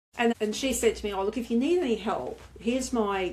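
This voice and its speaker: At a very fast pace, a woman with an Australian accent talks with ordinary pitch variation. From rural Australia. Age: 60s. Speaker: motorcycle adventurer and author. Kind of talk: interview.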